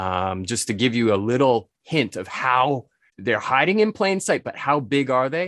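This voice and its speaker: A man with a New England accent speaks at a medium pitch with very wide swings in pitch, recorded dry and close with no echo against a quiet background. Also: moderate pace. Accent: American (New England). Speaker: spirits importer and author. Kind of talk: interview.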